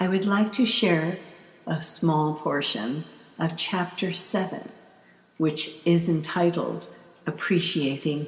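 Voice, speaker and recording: Here a woman is talking. She is soft-spoken. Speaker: author. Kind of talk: audiobook reading.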